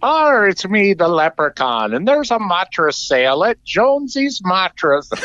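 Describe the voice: Putting on a character voice with an Irish accent, a man speaks at a high pitch and moderate pace with very wide pitch swings and hardly any pauses.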